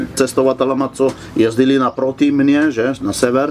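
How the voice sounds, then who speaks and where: A man with a Slovene accent at a fairly high pitch, flat and monotone, amid noticeable background noise. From Slovenia. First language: Slovene (speaking Czech). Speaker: motorcycle traveller. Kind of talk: interview. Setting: outdoors at a swimming pool.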